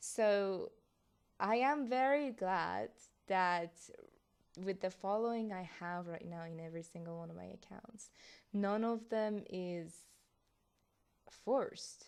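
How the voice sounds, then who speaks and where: Here a woman speaks in a Persian accent at a medium pitch with ordinary pitch variation. Her pace is very slow, with long, frequent pauses and big swings in loudness. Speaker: content creator. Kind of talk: casual vlog reaction.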